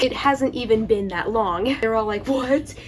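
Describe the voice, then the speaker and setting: Over noticeable background noise, a woman with a fairly high voice speaks at a moderate pace with ordinary pitch variation. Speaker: YouTuber reacting to viewer comments. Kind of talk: casual vlog talk. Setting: filmed in the dark. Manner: chatty, lots of filler words.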